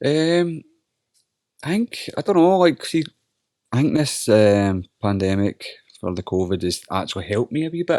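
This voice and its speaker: A man with a Scottish accent, medium pitch and a dark, mellow tone, at a moderate pace with very wide pitch swings and long, frequent pauses, in a dry, close sound with no echo. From Scotland, Holytown (North Lanarkshire). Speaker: MMA fighter. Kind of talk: casual chat.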